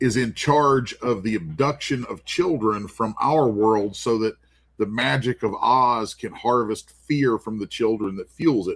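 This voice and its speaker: At a fairly slow pace, a man with an ordinary speaking voice talks at medium pitch with ordinary pitch variation. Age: 50s. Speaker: comic artist. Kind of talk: casual chat.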